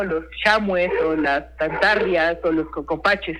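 A man's high, bright, sharp voice, raised and projected, with fairly even intonation at a very slow pace. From Mexico, Puebla (San Martín Texmelucan). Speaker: chef. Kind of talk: interview. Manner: halting, many repetitions and fillers.

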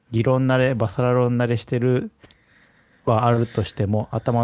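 This man's voice has a dark, mellow tone. His pitch is medium. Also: dry, close sound with no echo. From Japan, Hiroshima. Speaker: podcast co-host. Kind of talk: casual chat.

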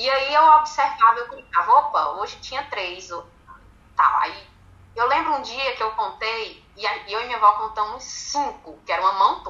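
A woman speaks at a moderate pace with lively intonation and big swings in loudness. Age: 30s. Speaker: women's football supporters' group president. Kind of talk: interview.

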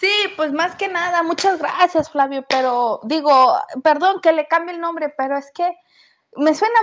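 Extremely high-pitched, a woman speaks at a fairly slow pace in a dry, close sound with no echo. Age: 20s. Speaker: listener sharing a story. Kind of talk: recorded voice message anecdote.

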